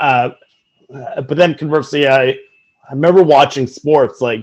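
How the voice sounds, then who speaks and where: This man speaks with a Newfoundland accent. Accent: Newfoundland Canadian English. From Newfoundland, Canada (St. John's). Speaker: sportswriter. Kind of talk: conference talk. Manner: halting, many fillers and repetitions.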